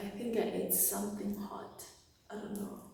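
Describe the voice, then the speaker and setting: Amid noticeable background noise and audible room echo, a woman speaks at a fairly slow pace in a monotone with flat intonation. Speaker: vlogger, makeup artist. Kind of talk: casual vlog monologue.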